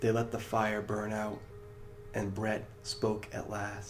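This is plain reading aloud. Nothing else stands out.

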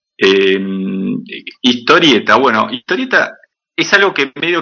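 A man's bright, sharp voice carries vocal fry and very wide pitch swings. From Patagonia, Argentina. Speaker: comic artist and animator. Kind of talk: casual interview. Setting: studio, remote call.

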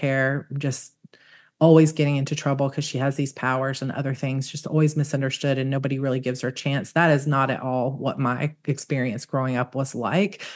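This woman has a very deep, low pitch and an American accent. The background is quiet. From US South, Georgia. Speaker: author. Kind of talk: interview.

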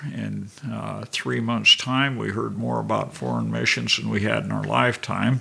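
Noticeable background noise accompanies a man whose delivery is fairly slow. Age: 70s. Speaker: missionary and Bible college staff. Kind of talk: interview testimony.

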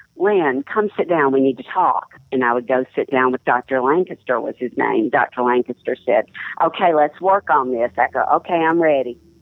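Speaking at a moderate pace in a Southern US accent, a woman has a very deep, low pitch and ordinary pitch variation. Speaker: columnist and writer. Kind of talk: interview with story reading.

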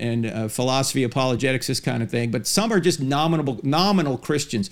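Using a plain, everyday voice, a man speaks with a fairly high pitch. His pace is fairly quick and his pitch variation ordinary. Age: 60s. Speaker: podcast host, apologist. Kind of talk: interview; monologue.

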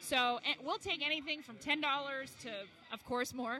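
Over music in the background, a woman with an American accent talks at a moderate pace in a high pitch, her pitch varying in an ordinary way. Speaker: charity staff member. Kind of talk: interview chat about a charity.

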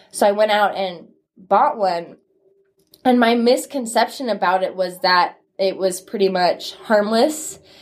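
An ordinary speaking voice from a woman, fairly high in pitch, with ordinary pitch variation at a fairly slow pace. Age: 20s. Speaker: former vaper, college student. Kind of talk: interview testimony.

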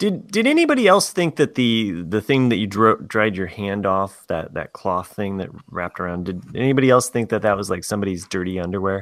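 A man with a normal speaking voice talks at a fairly quick pace with hardly any pauses, his pitch fairly low with ordinary variation. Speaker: teacher. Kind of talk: casual chat. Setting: remote recording.

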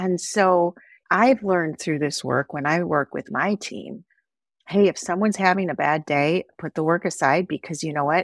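A woman with a plain, everyday voice speaks at a moderate pace and fairly low pitch, with ordinary pitch variation. The sound is dry and close with no echo, in a very clean recording with a silent background. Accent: American. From Wisconsin, US Midwest. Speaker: author and nonprofit founder. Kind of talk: interview.

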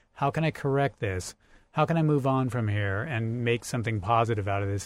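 An ordinary speaking voice from a man, medium in pitch, moderately paced, its pitch varying in an ordinary way, captured very cleanly against a silent background. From US Pacific Northwest (Central Oregon). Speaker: rock climber and academic. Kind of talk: casual chat. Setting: parked vehicle used as mobile studio.

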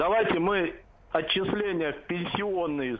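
Noticeable background noise and audible room echo surround a man whose high-pitched voice shows ordinary pitch variation. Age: 50s. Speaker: caller. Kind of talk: phone-in call.

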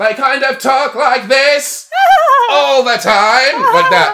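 A robotic, put-on character voice at a very slow pace, against clear background noise. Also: man, extremely high pitch for a man.

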